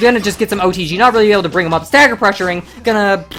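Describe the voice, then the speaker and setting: Over noticeable background noise, a woman with a medium pitch talks at a very fast pace. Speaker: fighting game tournament commentator. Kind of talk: live commentary. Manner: animated.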